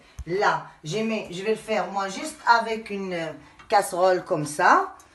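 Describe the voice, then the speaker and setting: A woman at a medium pitch and a fairly slow pace, with ordinary pitch variation and noticeable background noise. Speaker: home cooking youtuber. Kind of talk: cooking tutorial. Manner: loud; heavy audible breathing, asthmatic.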